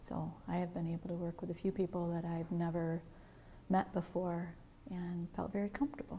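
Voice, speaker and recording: A woman with a fairly low, somewhat breathy voice and a dark, mellow tone speaks at a moderate pace with ordinary pitch variation. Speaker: training course student. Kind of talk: interview testimonial.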